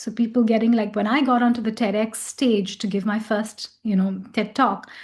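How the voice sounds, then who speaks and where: Fairly high-pitched woman's voice, somewhat breathy, with monotone, flat intonation and a moderate pace. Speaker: voice and communication coach. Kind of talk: interview answer. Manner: casual, conversational.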